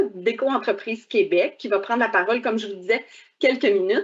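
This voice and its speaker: A woman speaks at a fairly high pitch with lively intonation. It is a normal speaking voice. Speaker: government official moderating a webinar. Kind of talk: webinar introduction. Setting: online webcast.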